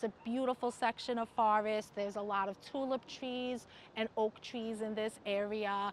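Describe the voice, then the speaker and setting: A woman's fairly high voice at a fairly slow pace. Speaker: park education guide. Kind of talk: guided nature walk talk. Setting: outdoors. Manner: animated.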